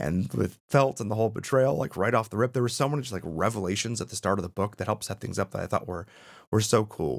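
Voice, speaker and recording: Talking at a very fast pace, a man with a fairly low pitch, vocal fry and lively intonation is captured in a very clean recording with a silent background. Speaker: book reviewer. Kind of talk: casual talk to camera.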